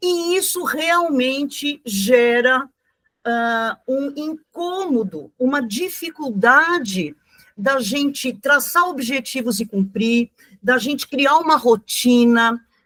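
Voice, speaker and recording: A woman with a high voice and lively intonation talks at a very slow pace. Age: 70s. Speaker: teacher. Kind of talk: lecture. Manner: halting.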